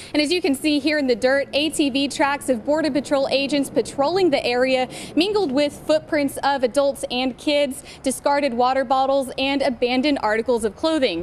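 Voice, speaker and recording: A woman's high voice at a moderate pace, with ordinary pitch variation and noticeable background noise. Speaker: TV news reporter. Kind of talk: TV news report.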